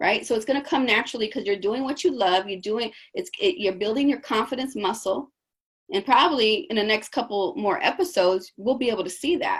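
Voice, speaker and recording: A woman speaks at a moderate pace in a fairly high voice. Her tone is animated and her intonation lively. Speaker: coach. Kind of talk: coaching session. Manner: loud.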